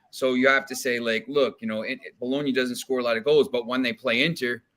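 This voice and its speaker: Speaking at a very fast pace with an American accent, a man keeps a medium pitch and ordinary pitch variation. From New Jersey, US. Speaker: soccer writer and sports bettor. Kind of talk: casual chat. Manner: halting, many repeated words.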